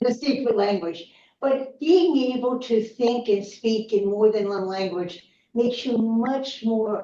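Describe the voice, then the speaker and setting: In an American accent, a woman speaks at a fairly slow pace with a fairly high pitch and a dark, mellow tone. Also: ordinary pitch variation. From Baltimore, Maryland (Locust Point). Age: 80s+. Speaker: former city councilmember. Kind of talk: interview.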